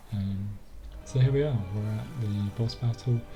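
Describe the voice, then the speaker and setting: Over music in the background, a man talks with a fairly low pitch. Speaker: gaming commentator. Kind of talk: gameplay voiceover. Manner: monotone; hesitant, many fillers.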